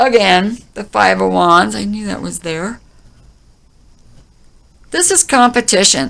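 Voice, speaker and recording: A woman's voice with very slow delivery, long, frequent pauses and big swings in loudness, on a very clean recording with a silent background. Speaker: tarot reader; former singer songwriter. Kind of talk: tarot reading talk to camera. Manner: casual, conversational.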